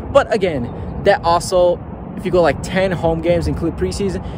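A man speaks at a moderate pace, the sound dry with no echo but with loud background noise behind him. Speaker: sports fan vlogger. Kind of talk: casual vlog chat. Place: stadium. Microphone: phone near.

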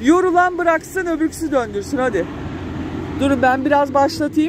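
Over faint background noise, a woman with a high pitch speaks at a moderate pace with ordinary pitch variation.

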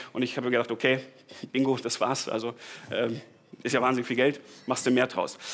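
A man's fairly quick, monotone speech with flat intonation and long, frequent pauses. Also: medium pitch for a man. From Bavaria (Tegernsee), southern Germany; Bavaria. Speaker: startup founder. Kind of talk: conference talk. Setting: stage with audience. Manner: casual, with many fillers and repetitions. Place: hall.

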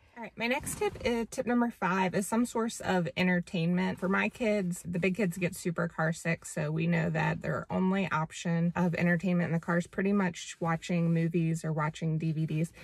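A woman with a plain, everyday voice, fairly low in pitch with ordinary variation, at a moderate pace with hardly any pauses, in a dry sound with no echo. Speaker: parent vlogger. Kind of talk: tutorial. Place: car. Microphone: phone near.

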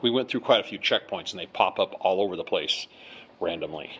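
A man is talking. He keeps a moderate pace. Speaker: traveler vlogger. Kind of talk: casual vlog chat. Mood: mildly disappointed. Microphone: phone near.

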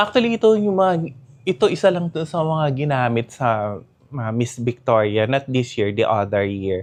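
A man of medium pitch speaks with very wide pitch swings. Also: moderate pace. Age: 50s. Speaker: fashion designer. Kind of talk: interview.

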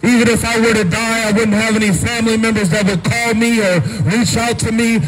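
This man talks at a fairly quick pace in a high voice, his intonation fairly even, over light background noise. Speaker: street preacher. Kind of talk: street sermon. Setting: outdoors. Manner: earnest, urgent pleading; repetitive, emphatic, with frequent amens. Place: street.

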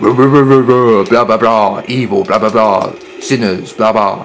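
A man's put-on character voice at medium pitch, very slow pace, with clear background noise. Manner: mocking, ranting.

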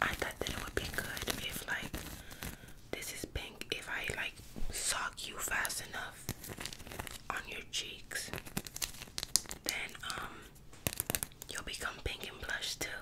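Whispering and soft-spoken, a woman talks at a very slow pace with long, frequent pauses over loud background noise. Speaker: ASMR creator. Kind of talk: soft-spoken roleplay chat. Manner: soft, close-mic ASMR whisper. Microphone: studio mic.

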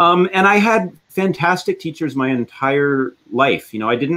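A man with a Canadian accent speaks with lively intonation. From western Canada. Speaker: orchestra concertmaster violinist. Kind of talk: interview. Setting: video call live stream. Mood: reflective, warm. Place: home room.

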